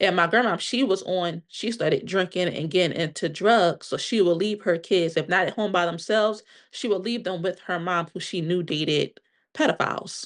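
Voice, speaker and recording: A woman with an American accent speaks in a normal speaking voice at a medium pitch and moderate pace, with ordinary pitch variation and a quiet background. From Pennsylvania, Delaware County. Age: 30s. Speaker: podcast guest sharing personal trauma story. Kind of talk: interview testimony.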